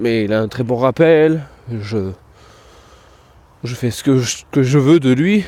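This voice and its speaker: A man with a dark, mellow tone and lively intonation. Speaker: dog trainer and podcast host. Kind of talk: casual podcast monologue. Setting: outdoors walking the dog in town.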